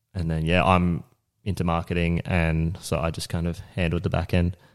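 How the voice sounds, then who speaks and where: Delivered at a moderate pace in a monotone, flat intonation, the speech has an Australian accent and comes through a very clean recording with a silent background. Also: man. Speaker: business owner and construction manager. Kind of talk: casual interview chat.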